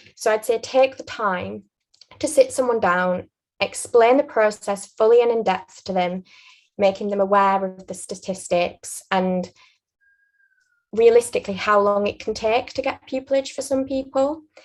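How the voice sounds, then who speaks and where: A woman speaks at a moderate pace with a Yorkshire accent. Her pitch is fairly high, with ordinary pitch variation. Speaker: aspiring barrister sharing interview advice. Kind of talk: interview advice conversation.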